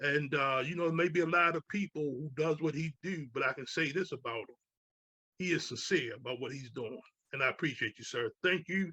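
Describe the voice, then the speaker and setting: Speaking fairly quickly, a man has a fairly high pitch, ordinary pitch variation and a bright, sharp tone in a dry, close sound with no echo. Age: 70s. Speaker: radio host. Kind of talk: interview.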